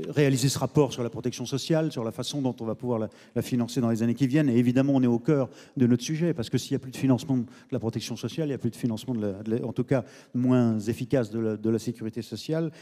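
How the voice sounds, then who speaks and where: Speaking at a very fast pace, a man uses a dark, mellow tone and fairly even intonation against a quiet background. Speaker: debate moderator. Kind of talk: moderator introduction. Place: stage. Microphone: handheld.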